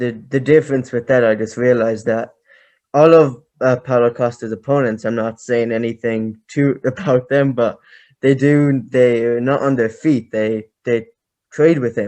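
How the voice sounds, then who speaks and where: A man with an Irish accent, medium pitch, a dark, mellow tone, fairly even intonation and a fairly slow pace. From Ireland. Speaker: podcast host. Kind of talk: casual chat.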